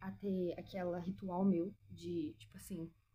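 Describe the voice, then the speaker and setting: This is a woman speaking. Her voice has vocal fry. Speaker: lifestyle vlogger. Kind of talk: casual chat. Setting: at home.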